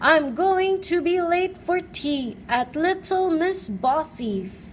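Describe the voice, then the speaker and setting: With clear background noise, a woman does a put-on character voice at an extremely high pitch and a very slow pace. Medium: read story. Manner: nervous.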